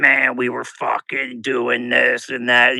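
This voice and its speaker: A man puts on a raspy character voice at a medium pitch. He delivers it at a fairly slow pace. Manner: abrasive, casual.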